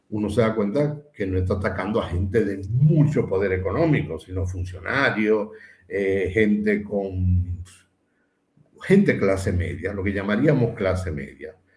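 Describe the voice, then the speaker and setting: A man talks in a somewhat breathy voice with ordinary pitch variation, and the room echo is audible. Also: fairly low pitch for a man, fairly slow pace. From Dominican Republic. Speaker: philosopher, former university administrator. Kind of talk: interview conversation.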